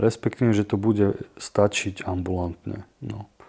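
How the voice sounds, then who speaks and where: This man has a dark, mellow tone. He speaks at a moderate pace. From eastern Slovakia, Prešov. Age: 30s. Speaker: podcast host, recovering gambler. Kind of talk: personal testimony.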